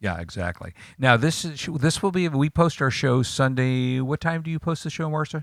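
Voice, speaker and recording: A man with a fairly high voice talks at a moderate pace in an ordinary speaking voice. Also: lively intonation. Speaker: tech radio co-host. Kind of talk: casual chat.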